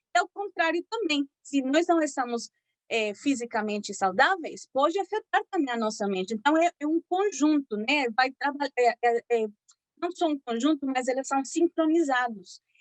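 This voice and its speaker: A high-pitched woman with a Spanish accent and very wide pitch swings, in a dry, close sound with no echo. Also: moderate pace. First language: Spanish (speaking Portuguese). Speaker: physician giving a health talk. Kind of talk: lecture. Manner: halting, many fillers.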